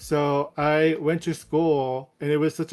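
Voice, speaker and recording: In a very clean recording with a silent background, a man with a Spanish accent talks at a very slow pace, his fairly high pitch held in a monotone, flat intonation. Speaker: roundtable panelist. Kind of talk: panel discussion.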